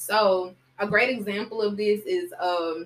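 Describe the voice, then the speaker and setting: A woman talks at a very slow pace. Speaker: podcast host. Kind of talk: casual chat. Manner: casual.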